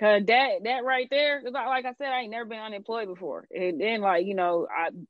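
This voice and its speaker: A woman at a fairly quick pace with lively intonation. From US South, Atlanta. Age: 20s. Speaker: investor and entrepreneur. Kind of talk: casual chat. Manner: casual, uses everyday slang.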